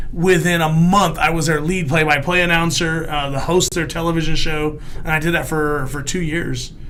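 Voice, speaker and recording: A man talks at a moderate pace with hardly any pauses, his fairly high voice monotone and flat. Noticeable background noise and audible room echo fill the recording. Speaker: comedian and former wrestling announcer. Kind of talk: casual chat. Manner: halting, with repeated restarts.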